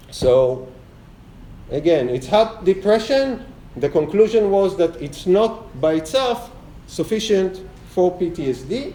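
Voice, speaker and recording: Over noticeable background noise and audible room echo, a man with a high pitch speaks at a fairly slow pace with lively intonation. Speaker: lecturer on trauma therapy research. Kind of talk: lecture.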